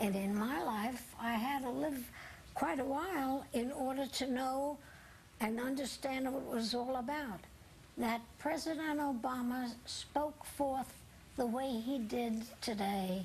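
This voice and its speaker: There is audible room echo as a woman speaks at a very slow pace in a high voice with very even loudness. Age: 80s+. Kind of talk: TV news interview.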